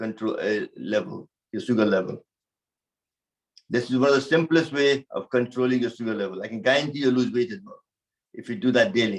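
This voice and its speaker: A man talks at a fairly quick pace with ordinary pitch variation. It is a normal speaking voice. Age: 60s. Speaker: yoga teacher. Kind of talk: fitness class talk.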